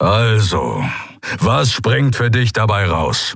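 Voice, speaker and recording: Using a put-on character voice, a man growls in a raspy, medium-pitched tone at a very slow pace, with ordinary pitch variation. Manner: growling.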